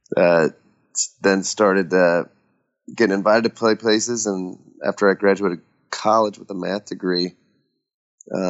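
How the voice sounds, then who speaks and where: Here is a man with a very deep, low pitch and an American accent. He speaks in a monotone, flat intonation. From Nebraska. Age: 30s. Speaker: rock musician and anti-trafficking worker. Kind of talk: interview conversation.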